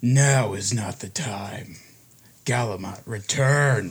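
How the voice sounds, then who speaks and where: A man puts on a booming character voice at medium pitch. His pace is very slow. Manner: commanding, authoritative.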